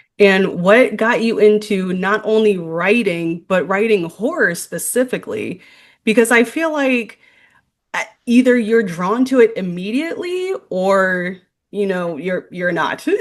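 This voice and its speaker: A woman with a plain, everyday voice and medium pitch speaks at a fairly slow pace with lively intonation over a quiet background. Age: 30s. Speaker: podcast host. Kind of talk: interview.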